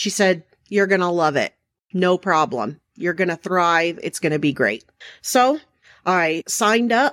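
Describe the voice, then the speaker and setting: With an American accent, a woman with an unremarkable speaking voice talks at a fairly slow pace in a fairly low pitch with lively intonation, recorded very cleanly against a silent background in a dry, close sound with no echo. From Arizona. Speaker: podcast host and corrections officer. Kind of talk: solo podcast monologue.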